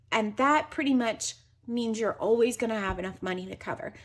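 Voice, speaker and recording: A woman with a normal speaking voice talks at a fairly high pitch with ordinary pitch variation over a quiet background. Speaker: personal finance youtuber. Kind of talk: tutorial.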